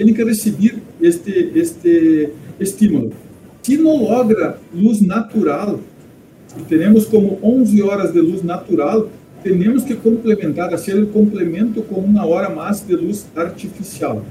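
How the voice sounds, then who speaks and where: High male pitch, fairly slow delivery and ordinary pitch variation. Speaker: poultry veterinarian. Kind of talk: interview. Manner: halting.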